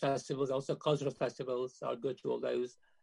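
There's vocal fry in this man's medium-pitched voice as he talks at a very fast pace. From Kenya, Indian family, raised then in UK. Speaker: surgeon. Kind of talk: interview testimony. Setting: video call.

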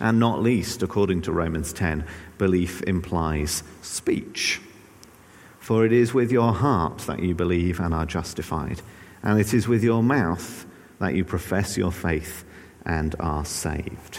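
A man speaks with an English accent in a very deep, low voice. Audible room echo surrounds him. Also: ordinary pitch variation, fairly slow pace. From England. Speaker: pastor. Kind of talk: sermon. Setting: church. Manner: hesitant, frequent filler words.

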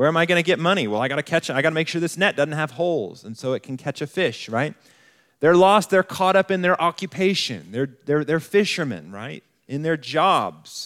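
A man with an American accent uses a plain, everyday voice, fairly high, with lively intonation at a fairly quick pace. The sound is dry and close with no echo on a very clean recording with a silent background. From US West (Colorado Springs, Colorado). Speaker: campus pastor, guest preacher. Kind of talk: sermon.

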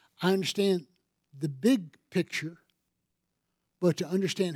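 This man's voice sits at a high pitch. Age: 60s. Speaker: pastor. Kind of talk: sermon. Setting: church.

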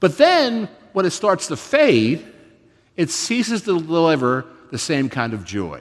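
On a very clean recording with a silent background, a man speaks at a fairly slow pace in a high voice with very wide pitch swings. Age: 50s. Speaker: pastor. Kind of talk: sermon.

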